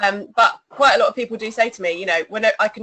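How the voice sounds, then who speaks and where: With an English accent, a woman speaks at medium pitch and a fairly quick pace, using ordinary pitch variation. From England. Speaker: singer in an electronic band. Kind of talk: interview.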